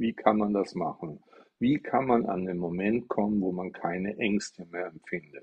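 A man at a fairly low pitch, fairly slow pace and ordinary pitch variation. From Stuttgart, Germany. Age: 60s. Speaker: Buddhist teacher. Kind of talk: livestream dharma talk. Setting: TikTok live stream. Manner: casual, chatty.

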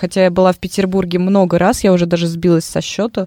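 Very fast speech comes from a woman at a medium pitch. The sound is dry and close, without any echo. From Moscow, Russia. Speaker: radio host. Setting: radio studio.

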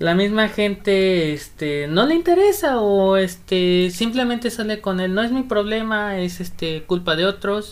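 A woman talks at a fairly slow pace with hardly any pauses, in an ordinary speaking voice. Her pitch is medium, with ordinary pitch variation. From Acapulco, Mexico. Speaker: guest. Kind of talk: casual chat.

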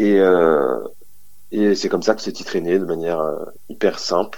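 A man's very deep, low voice at a very slow pace with ordinary pitch variation. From New Jersey / moved around, French-American. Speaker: music producer. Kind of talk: interview. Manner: halting, with fillers.

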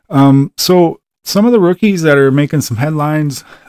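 Spoken with a Wisconsin accent and ordinary pitch variation, the clip has a dry, close sound with no echo on a very clean recording with a silent background. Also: man. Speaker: sports podcast host. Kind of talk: casual solo sports talk. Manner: halting, many fillers.

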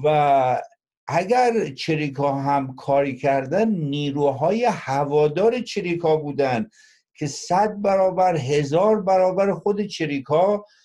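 Against a quiet background, a man with a fairly high pitch and a dark, mellow tone speaks very slowly with lively intonation. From Iran, Mazandaran (Qaem Shahr). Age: 60s. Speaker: former guerrilla member, blogger. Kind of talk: panel discussion.

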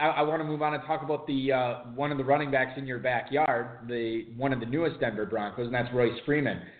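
A man with an American accent talks at a medium pitch and a fairly quick pace, with hardly any pauses. Noticeable background noise runs under his voice. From Wisconsin. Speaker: fantasy football radio host. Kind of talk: casual banter, radio show. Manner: joking, animated.

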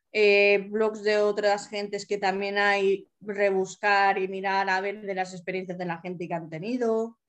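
A woman in flat, monotone intonation with hardly any pauses. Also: medium pitch for a woman, fairly slow pace. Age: 30s. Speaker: accessible travel advisor and wheelchair user. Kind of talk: interview.

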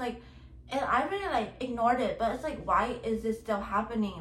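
With an animated tone, a woman speaks at a moderate pace amid audible room echo and noticeable background noise. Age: 20s. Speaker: podcast host. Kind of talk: solo monologue podcast. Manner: rambling filler-heavy speech.

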